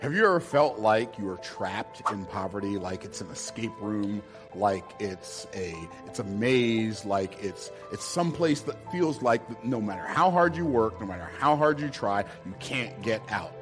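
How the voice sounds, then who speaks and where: With music in the background, a man with a fairly low pitch speaks at a fairly slow pace in an energetic, passionate tone, his pitch swinging very widely and his loudness rising and falling in big swings. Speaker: business speaker. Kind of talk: motivational speech.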